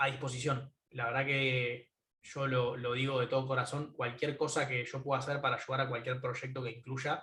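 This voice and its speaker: A man's bright, sharp tone with monotone, flat intonation. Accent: Argentine. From Argentina, Buenos Aires (Caballito). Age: 20s. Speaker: tech entrepreneur. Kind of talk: conference talk. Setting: video call from home. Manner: hesitant fillers.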